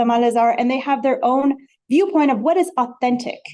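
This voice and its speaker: In a Spanish accent, a woman speaks at a very fast pace with very wide pitch swings. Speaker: academic researcher, panelist. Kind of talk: academic panel talk.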